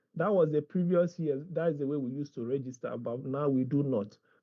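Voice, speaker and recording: Fairly high-pitched male speech marked by ordinary pitch variation. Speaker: university administrator. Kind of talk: orientation briefing and online tutorial.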